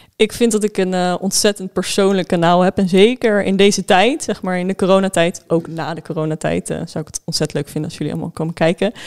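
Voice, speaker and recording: A woman speaks at a very fast pace with hardly any pauses and big swings in loudness. The sound is dry and close, with no echo. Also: medium pitch for a woman, fairly even intonation. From Netherlands, Spijkenisse (Rotterdam area). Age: 20s. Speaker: livestreamer and student. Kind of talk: casual chat.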